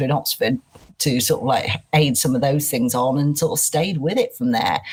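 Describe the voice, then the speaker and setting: A woman with a Manchester accent talks at a fairly quick pace. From northern England, Manchester. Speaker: head of people and culture. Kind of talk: podcast interview. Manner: high energy.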